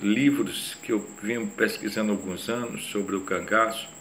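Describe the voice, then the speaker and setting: Against noticeable background noise and audible room echo, a man speaks fairly slowly at a medium pitch with ordinary pitch variation. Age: 60s. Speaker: retired police chief and psychoanalyst. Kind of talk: lecture.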